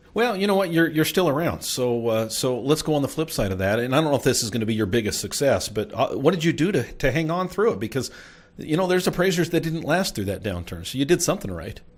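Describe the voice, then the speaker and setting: A man talks at a very fast pace with hardly any pauses. His pitch swings very widely, and vocal fry creeps in. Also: fairly high pitch for a man. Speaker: podcast host; real estate appraiser. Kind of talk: interview question.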